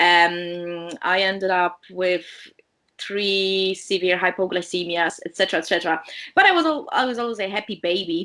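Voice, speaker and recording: A woman with a Polish accent has a bright, sharp tone and speaks at a moderate pace with fairly even intonation. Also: medium pitch for a woman. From Poland. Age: 30s. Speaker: diabetes educator and researcher. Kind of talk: interview. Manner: hesitant, many fillers.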